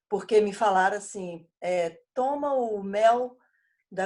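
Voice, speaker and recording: A woman speaks with lively intonation in a fairly high pitch. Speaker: bible study leader, former teacher. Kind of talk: casual chat.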